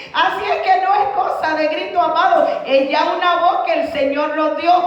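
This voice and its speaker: Loud shouting at a fairly slow pace, fairly even in intonation, with audible room echo and noticeable background noise. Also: woman. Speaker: evangelist preacher. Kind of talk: sermon. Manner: loud, sounds like shouting.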